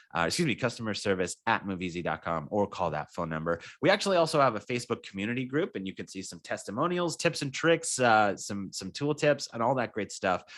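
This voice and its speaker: With very wide pitch swings and an upbeat tone, a man at medium pitch talks at a very fast pace. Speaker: software trainer. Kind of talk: product tutorial webinar. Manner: casual, upbeat.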